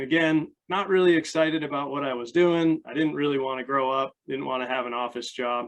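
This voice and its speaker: A man with an American accent speaks in a plain, everyday voice, pitched fairly high. His intonation stays fairly even, and he hardly pauses at all. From United States. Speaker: life coach and army veteran. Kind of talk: interview. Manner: casual.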